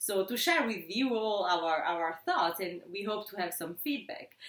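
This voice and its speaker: Speaking at a moderate pace in an Italian accent, a woman's pitch swings very widely over noticeable background noise. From Italy. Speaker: sociology instructor. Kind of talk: casual academic discussion. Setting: at home.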